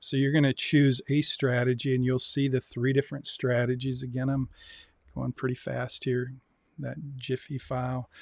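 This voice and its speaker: In a dry, close sound with no echo, a man with an ordinary speaking voice talks at a fairly slow pace and medium pitch. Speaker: university lecturer in personal finance. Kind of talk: lecture. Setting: live-streamed Zoom class.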